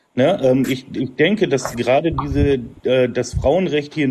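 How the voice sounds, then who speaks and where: Noticeable background noise sits behind a man who speaks very slowly in a fairly high pitch. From Emsland, northern Germany. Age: 30s. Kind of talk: debate.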